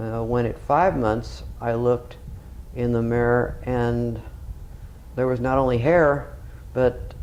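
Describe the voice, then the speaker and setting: Audible room echo surrounds the recording. A man talks at a very slow pace. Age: 60s. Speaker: retired radiologist, patient. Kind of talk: testimonial. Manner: halting, many fillers; formal, clinical wording.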